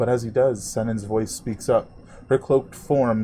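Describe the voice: The intonation holds fairly even. Someone reads aloud plainly.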